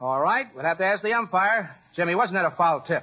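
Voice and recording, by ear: Putting on a character voice, a man speaks at a fairly quick pace with a high pitch, lively intonation and a bright, sharp tone.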